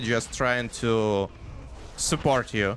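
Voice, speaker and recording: A man speaks with a non-native accent. Noticeable background noise runs under his voice. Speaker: gaming streamer. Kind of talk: casual live stream chat. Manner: halting, many fillers.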